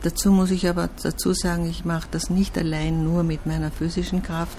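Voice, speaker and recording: Woman at a moderate pace, with audible room echo and noticeable background noise. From Austria. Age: 70s. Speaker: artist. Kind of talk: interview.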